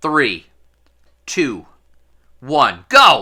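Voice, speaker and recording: A man's put-on character voice, fairly high in pitch, on a very clean recording with a silent background. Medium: read story. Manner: cheery, fussy.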